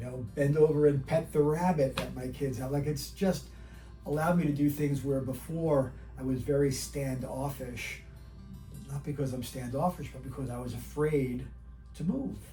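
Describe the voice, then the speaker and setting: Background music is present. The speech proceeds at a moderate pace. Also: man. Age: 60s. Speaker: patient. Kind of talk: testimonial interview answer.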